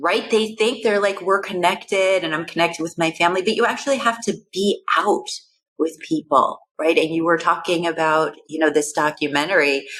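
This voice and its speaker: A woman speaks in an unremarkable speaking voice at a moderate pace. Her pitch is fairly low, with ordinary pitch variation. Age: 50s. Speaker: neuroscientist. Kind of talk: casual chat.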